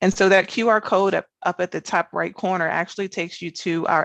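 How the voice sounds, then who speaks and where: A woman's very fast speech with fairly even intonation, in a dry, close sound with no echo. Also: quiet background. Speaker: government research scientist. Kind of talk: conference presentation. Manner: fast-paced.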